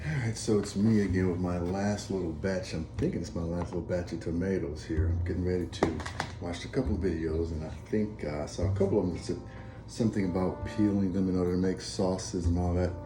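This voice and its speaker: A man with a very deep, low pitch and ordinary pitch variation talks at a very fast pace. Audible room echo and noticeable background noise accompany him. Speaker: home cook vlogger. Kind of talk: cooking tutorial. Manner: casual, conversational.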